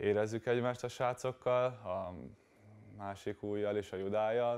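A man talks at a fairly low pitch and a fairly slow pace. His intonation stays fairly even against a quiet background. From Hungary, Kecskemét; Hungary. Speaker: volleyball player; guest. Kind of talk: studio interview. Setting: TV studio. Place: studio.

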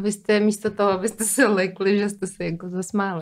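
A woman at a medium pitch speaks fairly quickly in a monotone, flat intonation against a quiet background. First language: not Czech (speaking Czech). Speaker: podcast host. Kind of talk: interview. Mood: curious, light and friendly. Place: studio. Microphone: studio mic.

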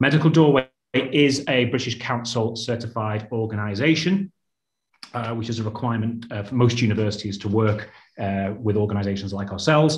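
A man talks at a fairly quick pace in a somewhat breathy voice with ordinary pitch variation. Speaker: webinar moderator for education channel. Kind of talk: webinar moderation. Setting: video call. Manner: hesitant, many filler words.

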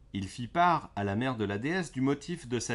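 With a gentle, soothing tone, a man speaks at a medium pitch with very wide pitch swings. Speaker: storyteller reading fairy tales aloud. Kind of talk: bedtime story narration, read aloud to children. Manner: gentle, soothing, calm storyteller pace.

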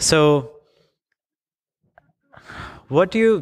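Ordinary pitch variation and a clear, smooth tone. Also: man.

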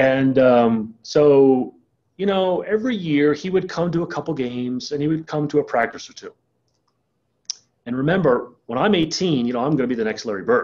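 With a slightly mellow tone, a man speaks at a moderate pace using lively intonation. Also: medium pitch for a man.

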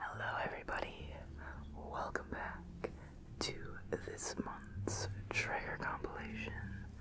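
The speaker talks at a very slow pace. Loud background noise is present. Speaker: ASMR creator. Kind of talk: ASMR trigger video, positive affirmations and relaxation. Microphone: studio mic.

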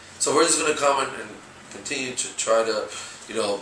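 There is audible room echo and light background noise. A man with an American accent speaks at a moderate pace. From New York, Brooklyn; New York. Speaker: rabbi, youth director; rabbi. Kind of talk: interview. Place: home room. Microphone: camera far.

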